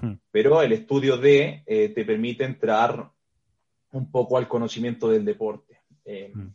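Speaking at a fairly slow pace, a man with a medium pitch and a dark, mellow tone uses ordinary pitch variation and big swings in loudness. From Chile. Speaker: strength and conditioning coach. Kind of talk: interview.

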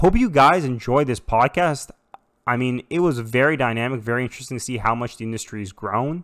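With a Canadian accent, a man speaks in an ordinary speaking voice at a medium pitch, a fairly quick pace and ordinary pitch variation. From Toronto, Canada. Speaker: podcast host. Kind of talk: casual interview; scripted intro.

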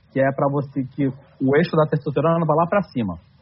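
Speaking at a fairly quick pace, a man has a plain, everyday voice with a fairly high pitch and ordinary pitch variation. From southern Brazil, Santa Catarina. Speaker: nutrition content creator. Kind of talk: podcast conversation.

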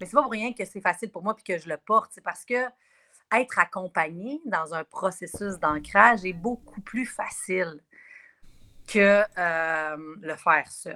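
A woman with a Quebec accent speaks fairly slowly in a bright, sharp tone at medium pitch, with ordinary pitch variation and big swings in loudness. The sound is dry and close with no echo, on a very clean recording with a silent background. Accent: Québécois French. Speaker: spiritual wellness guide. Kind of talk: casual radio interview.

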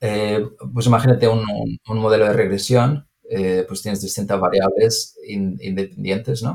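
The man's pitch is fairly low, with ordinary variation. He moves at a fairly slow pace. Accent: Spanish. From Andalusia, Spain (Granada). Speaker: engineer. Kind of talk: interview. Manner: halting, many repetitions and fillers.

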